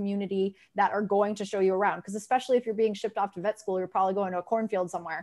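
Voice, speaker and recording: Over a quiet background, a woman speaks at a medium pitch. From Massachusetts (Grafton); Massachusetts. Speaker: veterinary marketing consultant; guest. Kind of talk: casual panel discussion. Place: home room.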